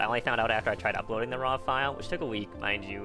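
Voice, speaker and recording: A man talks with normal rises and falls in pitch while music sounds behind him. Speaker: gaming YouTuber. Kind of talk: casual gameplay commentary.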